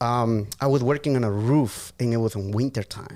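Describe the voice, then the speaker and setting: The voice has a dark, mellow tone and a Spanish accent, with fairly even intonation at a moderate pace. The recording is very clean, with a silent background. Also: man. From Guatemala, raised from age 8 in Massachusetts. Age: 30s. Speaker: podcast guest, auto shop owner. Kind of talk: casual chat.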